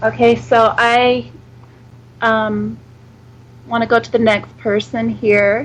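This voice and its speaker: Speaking very slowly with long, frequent pauses, a woman talks with an American accent. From United States. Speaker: psychic reader. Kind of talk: psychic reading on radio. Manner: hesitant, many fillers.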